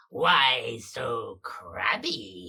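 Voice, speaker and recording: This is a put-on character voice. It sounds raspy. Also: man. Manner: creepy, taunting.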